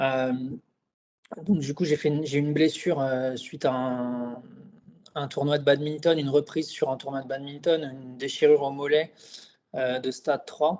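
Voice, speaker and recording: Monotone, flat intonation is broken up by long, frequent pauses. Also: man, fairly high pitch for a man, moderate pace. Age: 30s. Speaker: client giving a testimonial. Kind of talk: interview testimony. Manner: hesitant, many fillers.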